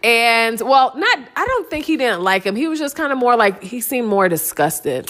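Noticeable background noise sits under a woman with an American accent and a fairly high pitch, who speaks at a moderate pace with very wide pitch swings and hardly any pauses. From Ohio, US Midwest. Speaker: podcast co-host with her husband. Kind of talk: casual chat. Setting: at home.

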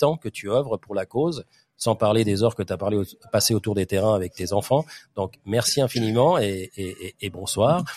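A man at a fairly quick pace and fairly low pitch, on a very clean recording with a silent background and a dry, close sound with no echo. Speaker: football podcast host. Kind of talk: casual chat. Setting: clubhouse bar.

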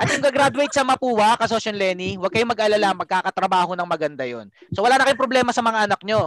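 A man with a high pitch and ordinary pitch variation talks at a very fast pace. The sound is dry and close with no echo, though background noise is noticeable. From Philippines. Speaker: business podcast host and coach. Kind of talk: live business coaching call-in. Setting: Zoom call.

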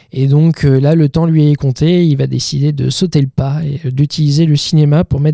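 A man with a fairly high pitch and a dark, mellow tone speaks in a monotone, flat way, somewhat breathy and with hardly any pauses. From Normandy, Calvados (Bayeux). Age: 30s. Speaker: film director. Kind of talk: interview. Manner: halting with repetitions.

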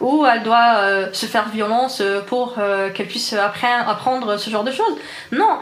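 Amid noticeable background noise and audible room echo, a woman speaks at a fairly high pitch. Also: ordinary pitch variation, moderate pace. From Algeria, Algiers. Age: 20s. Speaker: software developer. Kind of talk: interview. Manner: hesitant, many fillers.

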